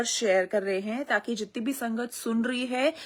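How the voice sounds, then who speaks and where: She speaks at a fairly slow pace, her high-pitched voice showing ordinary pitch variation. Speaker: devotee sharing testimony. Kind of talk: testimony. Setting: live stream.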